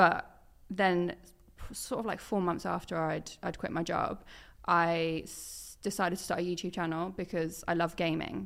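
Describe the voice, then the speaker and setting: Over a silent background in a very clean recording, a woman with a fairly low pitch and vocal fry speaks at a moderate pace with fairly even intonation. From East Anglia, Suffolk. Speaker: football presenter and content creator. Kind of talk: casual chat.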